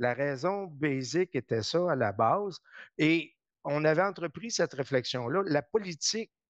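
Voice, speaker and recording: A normal speaking voice from a man, fairly high in pitch, with lively intonation at a fairly slow pace, dry and close with no echo against a quiet background. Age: 60s. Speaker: politician. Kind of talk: interview. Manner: conversational.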